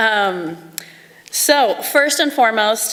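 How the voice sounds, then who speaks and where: A woman talks with lively intonation. Background noise is noticeable. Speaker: teacher, award winner. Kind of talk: acceptance speech. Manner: loud.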